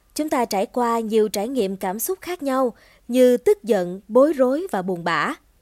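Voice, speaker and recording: A woman's fairly high voice at a fairly slow pace, with very wide pitch swings, in a dry, close sound with no echo. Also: very clean recording, silent background. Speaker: podcast host. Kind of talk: scripted narration. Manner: formal.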